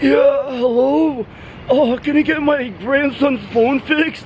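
A high-pitched, put-on character voice moves at a fairly slow pace. Background noise is clearly audible. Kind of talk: put-on old man voice, prank rehearsal. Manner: polite, disguised.

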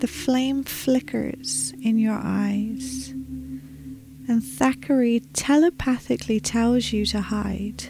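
In a calm, soothing tone, a woman speaks at a very slow pace, the sound dry with no echo despite noticeable background noise. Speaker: meditation guide. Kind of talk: guided meditation narration. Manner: calm, soothing, slow. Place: home room. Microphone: studio mic.

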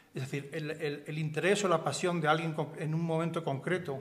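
A man talks at a fairly quick pace. His pitch is fairly high and his intonation fairly even. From Spain, Seville; Spain. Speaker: art dealer; panelist. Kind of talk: lecture. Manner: halting. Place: hall. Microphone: podium.

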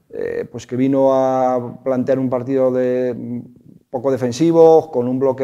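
A man speaks at a fairly slow pace with a medium pitch. His tone is dark and mellow, and the background is quiet. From Asturias, Trubia. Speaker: sports show host. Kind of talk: sports talk show. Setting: studio. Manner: halting. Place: studio. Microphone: lapel.

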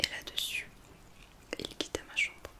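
A woman whispers, soft-spoken, at a fairly slow pace. Noticeable background noise sits behind her. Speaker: reader of a story. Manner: soft close ASMR whisper, storytelling.

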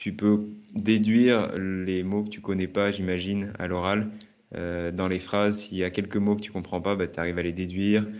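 In a monotone with flat intonation, a man speaks at a fairly low pitch. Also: moderate pace. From French-speaking country. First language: French (speaking Spanish). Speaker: Spanish teacher, YouTuber. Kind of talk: casual interview chat. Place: home room. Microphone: earbuds.

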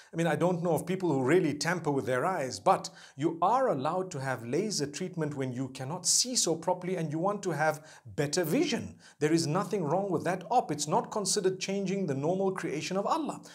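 Over a quiet background, a man with a high pitch talks at a fairly quick pace with ordinary pitch variation. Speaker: religious teacher. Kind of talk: religious talk to camera. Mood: calm, earnest explaining. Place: studio. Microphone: lapel.

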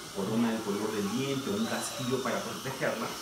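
A man speaks with audible echo in the room. Loud background noise runs underneath. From Lima, Peru. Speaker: dentist. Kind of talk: explaining treatment to a patient. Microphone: camera far.

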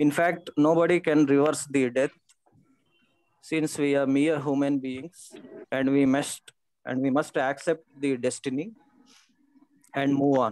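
With long, frequent pauses, a man talks at a fairly slow pace and with fairly even intonation, in dry sound with no echo. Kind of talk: memorial tribute speech. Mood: somber, grieving. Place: home room. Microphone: video call.

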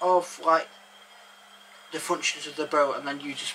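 A man talks in a raised, projected voice with ordinary pitch variation. Light background noise sits behind him. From England. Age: 30s. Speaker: narrowboat vlogger. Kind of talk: casual chat. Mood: jokey, lively. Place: boat.

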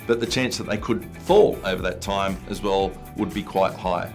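You hear a man's voice. Music sits faintly behind him. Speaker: presenter. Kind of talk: tutorial. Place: studio.

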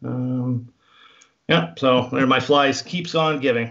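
Against a quiet background, a man talks at a fairly slow pace with ordinary pitch variation. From Canada. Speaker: fly fishing guide and instructor; fly fishing guide, instructor. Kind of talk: tutorial. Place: home room. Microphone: video call.

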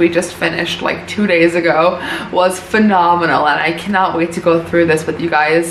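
A woman talks at a moderate pace in a fairly low pitch. Light background noise and audible room echo surround her voice. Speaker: video creator. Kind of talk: casual vlog chat. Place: home room.

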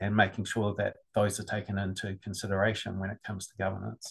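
A man's fairly low voice with a New Zealand accent over a quiet background. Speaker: GIS business consultant; webinar presenter. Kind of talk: webinar presentation.

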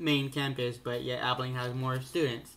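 Some light background noise is present. The speaker is a man. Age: young. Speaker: vlogger, college student; college student vlogger. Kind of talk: casual vlog monologue. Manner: halting, many fillers. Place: home room. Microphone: webcam.

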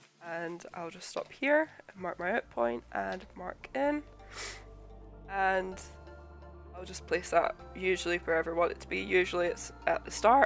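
With music in the background, a woman speaks at a fairly slow pace with long, frequent pauses. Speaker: video editor. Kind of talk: software tutorial narration. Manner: casual, conversational.

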